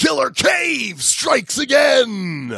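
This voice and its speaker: A man is shouting in a put-on character voice at an extremely high pitch. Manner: sensational, tabloid headline delivery.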